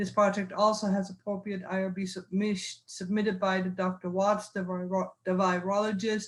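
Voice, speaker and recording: Her medium-pitched, somewhat breathy voice stays monotone and flat as this woman talks at a moderate pace with hardly any pauses. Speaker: university research administrator. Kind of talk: reading aloud. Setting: video call. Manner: halting.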